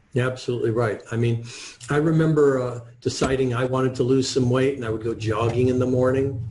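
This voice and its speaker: A man speaks at a very fast pace in a monotone, flat intonation, with audible room echo and noticeable background noise. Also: medium pitch for a man. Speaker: author and wealth coach. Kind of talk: interview.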